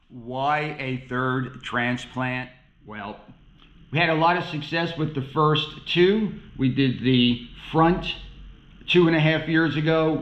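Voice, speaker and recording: Words come from a man very slowly. He sits fairly high in pitch. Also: ordinary pitch variation. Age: 60s. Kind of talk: casual vlog narration to camera. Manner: light, joking.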